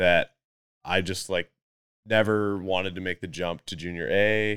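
A man with a British Columbian accent speaks at a very slow pace in a very deep, low pitch, his tone bright and sharp and his intonation fairly even. The sound is dry and close with no echo, on a very clean recording with a silent background. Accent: Canadian (British Columbia). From North Vancouver, Canada. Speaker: pro mountain biker. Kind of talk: casual chat.

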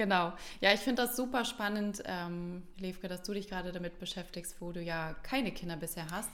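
A woman's medium-pitched voice at a fairly quick pace, with ordinary pitch variation and audible room echo. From Hamburg, northern Germany. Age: 30s. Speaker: parenting podcast co-host. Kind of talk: casual chat. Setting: at a kitchen table.

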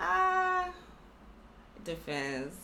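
A woman talks with audible room echo and noticeable background noise in the recording. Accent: American. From Los Angeles County, California. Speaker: economic development program representative. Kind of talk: interview.

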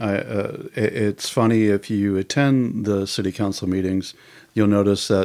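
A man with an ordinary speaking voice, fairly low in pitch, at a moderate pace with fairly even intonation. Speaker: podcast co-host. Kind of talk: casual interview conversation.

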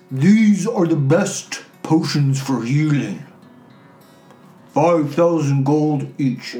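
A man puts on a character voice pitched fairly high. He speaks very slowly, with long, frequent pauses. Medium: actual play. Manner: slow, terse, humming "hmm" before speaking.

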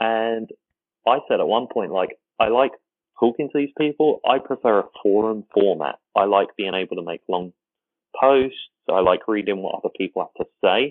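Ordinary pitch variation marks the speech of a man with an English accent. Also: medium pitch for a man, moderate pace. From England. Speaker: fan community site founder. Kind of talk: casual chat. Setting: remote call across time zones.

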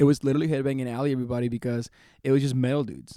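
Heard on a very clean recording with a silent background, a man's dark, mellow tone sits at medium pitch with ordinary variation. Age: 20s. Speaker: podcast co-host, hot sauce maker. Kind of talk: casual chat. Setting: recorded live on location after a food show. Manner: animated.

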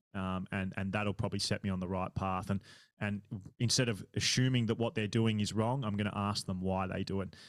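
A man with an Australian accent talks at a fairly quick pace in a fairly low pitch, his intonation fairly even, on a very clean recording with a silent background. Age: 30s. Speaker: triathlon podcaster and age-group triathlete. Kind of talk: casual interview chat.

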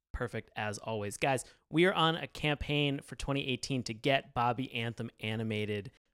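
The man has a normal speaking voice at medium pitch, with ordinary pitch variation and a moderate pace. The recording is very clean, dry and close, with no echo and a silent background. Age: 30s. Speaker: podcast host. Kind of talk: casual chat.

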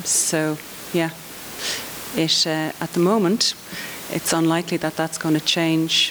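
With an Irish accent, a woman speaks fairly slowly at a fairly low pitch, her intonation monotone and flat, with long, frequent pauses over noticeable background noise. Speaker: children's TV commissioner. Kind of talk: conference panel discussion.

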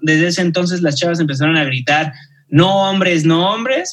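The man talks at a moderate pace in a high-pitched voice with a bright, sharp tone and ordinary pitch variation. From Mexico, Guadalajara. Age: 30s. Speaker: journalist and TV news anchor. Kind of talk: casual interview chat.

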